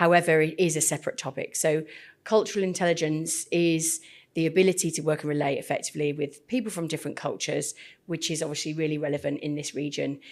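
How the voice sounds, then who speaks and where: A woman speaks very fast with a British accent, her pitch very deep and low. Her intonation stays fairly even, and the recording is very clean with a silent background. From UK. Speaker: podcast host, cultural intelligence trainer. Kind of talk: podcast interview.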